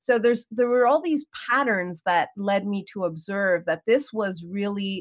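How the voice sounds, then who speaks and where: Using a normal speaking voice, a woman talks at a moderate pace and medium pitch with ordinary pitch variation, her sound dry and close with no echo against a quiet background. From Canada, Montreal. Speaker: leadership coach. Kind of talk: interview.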